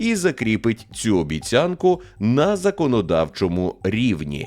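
A man at a very slow pace, his pitch swinging very widely. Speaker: news presenter. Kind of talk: news reading.

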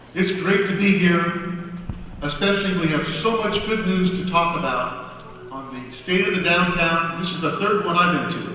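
Heavy room echo surrounds this moderately paced voice, with light noise behind it. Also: man, high pitch for a man, fairly even intonation. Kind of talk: public speech. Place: stage. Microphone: podium.

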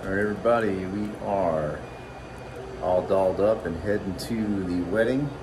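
A man with a low pitch and ordinary pitch variation speaks over clear background noise, with audible room echo.

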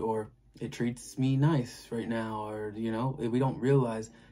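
Faint music plays in the background while a man talks with fairly even intonation. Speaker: tarot reader. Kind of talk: tarot reading commentary. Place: home room. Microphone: phone near.

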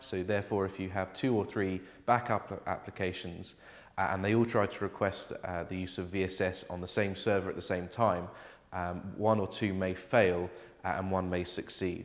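A man's very deep, low voice with monotone, flat intonation at a moderate pace. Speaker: presenter. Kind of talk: tutorial. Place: office.

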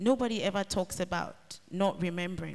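The woman's pitch rises and falls in an ordinary way as she talks. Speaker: novelist; panelist. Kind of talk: author panel talk and reading. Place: hall. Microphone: handheld.

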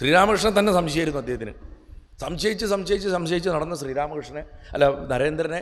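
High-pitched male speech with ordinary pitch variation, over noticeable background noise. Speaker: spiritual speaker. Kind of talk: spiritual discourse.

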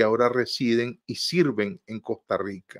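A man talks at a fairly slow pace, his pitch varying in an ordinary way, with a quiet background behind him. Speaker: host of a political talk show. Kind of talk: news commentary. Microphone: video call.

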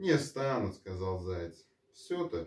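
Audible room echo surrounds a voice moving at a very slow pace. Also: man. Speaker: storyteller. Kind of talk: bedtime story reading with character voices. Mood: calm, cosy, soft. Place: home room. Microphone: camera far.

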